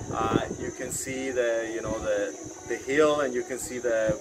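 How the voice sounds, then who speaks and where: Loud background noise fills the recording. Over it, a man speaks at a fairly slow pace. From Colombia. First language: Spanish. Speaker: travel vlogger. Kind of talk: casual monologue. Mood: relaxed and friendly. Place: open country. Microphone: phone near.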